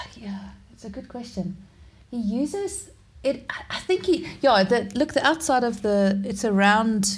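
Over noticeable background noise, a woman talks fairly slowly at a fairly high pitch with lively intonation. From South Africa. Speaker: underwater portrait photographer. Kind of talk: casual interview. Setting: remote call.

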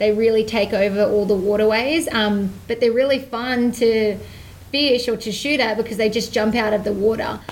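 With an Australian accent, a woman talks at a moderate pace in a fairly high pitch and fairly even intonation. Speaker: hunting and fishing TV presenter. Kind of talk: casual chat interview.

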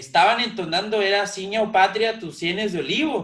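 In a raised, projected voice with a bright, sharp tone, a man talks at a fairly slow pace amid audible room echo. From Mexico. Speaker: podcast host. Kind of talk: casual interview chat. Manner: halting, many repeated words.

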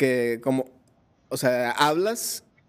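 The recording is very clean, with a silent background. In it, a man talks with a Mexican accent. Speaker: podcast host. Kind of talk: casual chat. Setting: live video stream. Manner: animated.

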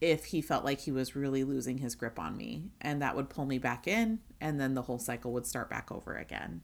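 A woman with a very deep, low pitch and vocal fry talks fairly quickly, with lively intonation and hardly any pauses. The recording is very clean with a silent background. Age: 30s. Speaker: podcast co-host. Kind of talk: casual chat.

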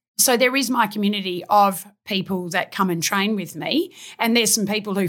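With an Australian accent and ordinary pitch variation, a woman speaks in a very clean recording with a silent background. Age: 50s. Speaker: fitness trainer. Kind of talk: casual interview.

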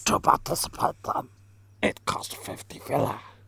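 A man whispering in a put-on character voice. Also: moderate pace. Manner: menacing, creepy.

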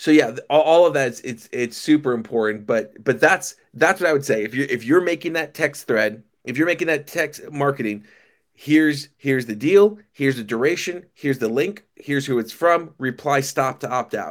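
A man with a normal speaking voice talks at a moderate pace and a fairly high pitch, with ordinary pitch variation and hardly any pauses. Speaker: restaurant software company founder. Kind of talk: casual interview chat. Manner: casual, friendly.

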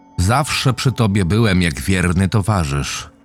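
The voice carries a menacing tone. Music plays in the background. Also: man. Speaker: creepypasta narrator. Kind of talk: scripted horror narration, ghost story told in eerie first person as a haunting spirit. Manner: slow, hushed and menacing, building dread to a chilling final reveal.

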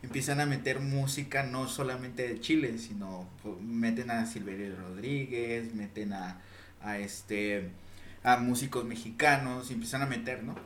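Speaking at a fairly slow pace, a man with a medium pitch and ordinary pitch variation is heard through audible room echo and noticeable background noise. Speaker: podcast co-host. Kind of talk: casual chat.

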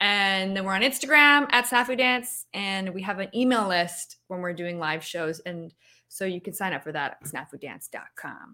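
In a Canadian accent, a bright, sharp voice moves at a moderate pace with lively intonation and big swings in loudness, on a very clean recording with a silent background. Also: woman, medium pitch for a woman. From Canada. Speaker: puppeteer and performer. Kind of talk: casual interview. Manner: animated, playful.

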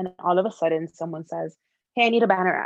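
With an American accent, a woman talks at a medium pitch with ordinary pitch variation in an unremarkable speaking voice. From Miami, Florida. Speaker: advertising copywriter. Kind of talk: interview.

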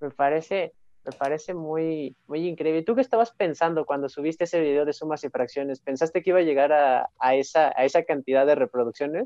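An unremarkable speaking voice belongs to a man with a fairly high pitch and ordinary pitch variation. He moves at a fairly quick pace with hardly any pauses. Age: young. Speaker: podcast host. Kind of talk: casual interview. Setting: live stream.

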